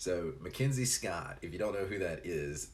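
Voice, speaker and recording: A man talks with a slight Tennessee accent and vocal fry. Audible room echo surrounds his voice. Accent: slight Southern Tennessee. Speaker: live streamer. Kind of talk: casual chat; reading aloud. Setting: live stream.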